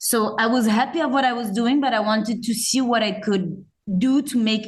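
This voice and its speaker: A woman with a French accent, fairly high-pitched and somewhat breathy, at a moderate pace. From France. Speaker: zero-waste store owner. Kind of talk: podcast interview. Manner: hesitant, many fillers.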